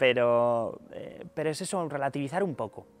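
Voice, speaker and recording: Over faint background music, a man speaks at a fairly high pitch with ordinary pitch variation, the sound dry with no echo. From Asturias, northern Spain. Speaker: concert pianist. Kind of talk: interview. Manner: halting, many repetitions and fillers. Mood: relaxed, thoughtful, friendly. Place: stage.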